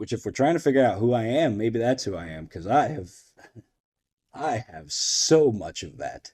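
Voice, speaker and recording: Vocal fry runs through a dark, mellow tone. Both pitch and loudness swing widely. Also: man, medium pitch for a man, moderate pace. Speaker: podcast host. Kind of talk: personal monologue. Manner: halting.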